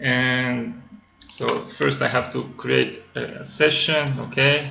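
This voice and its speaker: Recorded with audible room echo and noticeable background noise, a man talks with a non-native accent. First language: not English. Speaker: software developer. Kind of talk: tutorial. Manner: halting, many fillers.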